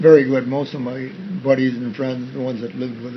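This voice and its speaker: In a Western New York accent, a man talks at a very fast pace over noticeable background noise. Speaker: army veteran and farmer. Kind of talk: interview answer.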